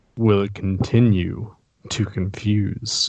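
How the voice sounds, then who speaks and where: A man's put-on character voice, fairly low in pitch, monotone and flat, at a very slow pace. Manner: dramatic, announcer-style.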